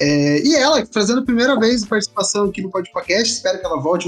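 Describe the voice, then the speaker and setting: With music in the background, a man speaks at a very fast pace and with lively intonation. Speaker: podcast host. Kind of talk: casual chat.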